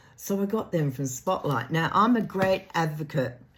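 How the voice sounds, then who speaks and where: Fairly slow female speech in an Australian accent. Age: 70s. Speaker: craft vlogger. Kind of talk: casual chat.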